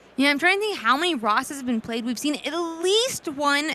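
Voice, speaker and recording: A woman's raised, projected voice, high in pitch with very wide pitch swings, amid noticeable background noise. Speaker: esports caster. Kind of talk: live commentary. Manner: naturally loud.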